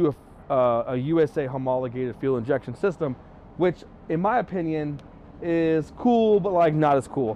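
Light background noise, dry sound with no echo, and a man speaking at a moderate pace. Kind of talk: casual vlog walkthrough. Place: street. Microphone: lapel.

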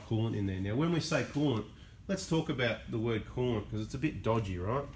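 Someone talks at a very fast pace in an Australian accent, sounding somewhat breathy. Light background noise sits behind the voice. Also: man. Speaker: diesel mechanic / car channel host. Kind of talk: unscripted tutorial. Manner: casual, off the cuff. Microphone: camera far.

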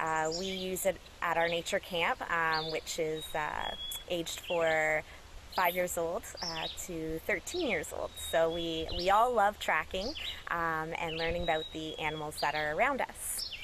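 Against noticeable background noise, a woman talks at a fairly slow pace with fairly even intonation. The sound is dry with no echo. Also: fairly low pitch for a woman. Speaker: environmental educator. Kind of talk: tutorial. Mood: friendly, smiling. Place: forest.

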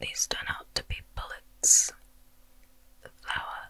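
Whispering, a soft-spoken woman talks at a very slow pace. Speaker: video game story narrator. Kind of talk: narrated story recap. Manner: soft whispered storytelling. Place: home room.

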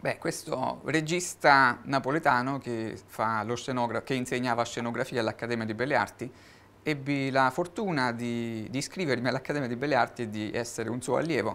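The man's voice has a bright, sharp tone and ordinary pitch variation. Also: medium pitch for a man, moderate pace. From Italy. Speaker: guitarist and artist; interviewee. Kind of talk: TV interview. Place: studio.

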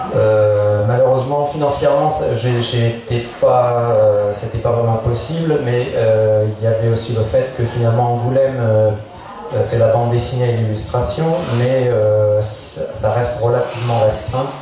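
Strong room echo and light background noise surround a man who speaks at a fairly slow pace with long, frequent pauses. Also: medium pitch for a man. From Auvergne, France. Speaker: painter and animation artist. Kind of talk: panel discussion. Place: tent.

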